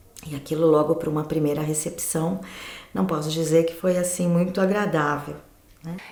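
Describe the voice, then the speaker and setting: Speaking at a moderate pace, a woman uses a very deep, low pitch with ordinary variation. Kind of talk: documentary interview answer.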